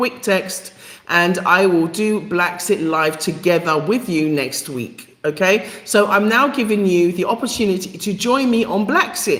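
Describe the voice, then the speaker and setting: A woman with a London accent at a medium pitch, her intonation lively and her pace fairly slow, over noticeable background noise. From England, East London. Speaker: live stream host. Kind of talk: live stream chat. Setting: YouTube live stream. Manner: halting, many fillers.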